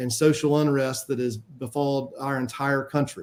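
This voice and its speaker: With a Southern US accent, a man speaks at a moderate pace and fairly high pitch with fairly even intonation. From US South, Spartanburg, South Carolina. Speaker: city council member, candidate. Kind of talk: candidate forum opening statement. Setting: virtual forum, video call.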